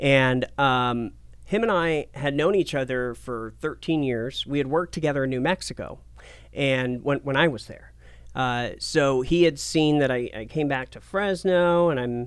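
With an American accent, a man speaks fairly slowly in a fairly high voice with ordinary pitch variation and an unremarkable speaking voice. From Portland, Oregon. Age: 30s. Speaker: TV and radio personality. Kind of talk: casual interview.

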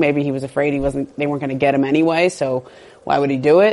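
A woman at a fairly quick pace with a slight Southern Californian accent, over noticeable background noise. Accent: slight Valley girl, fast-paced. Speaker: sports journalist. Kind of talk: casual interview chat about NBA. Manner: fast talker.

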